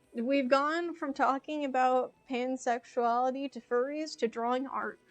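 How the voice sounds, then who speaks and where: A high-pitched woman with an American accent, fairly slow, with ordinary pitch variation and music in the background. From United States. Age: 20s. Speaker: video game streamer. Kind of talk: casual chat. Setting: live stream.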